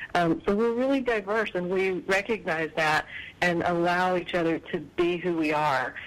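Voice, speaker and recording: A woman with a normal speaking voice talks at a moderate pace, her fairly low pitch held at a very even loudness. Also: ordinary pitch variation. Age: 40s. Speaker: life coach. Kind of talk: casual chat.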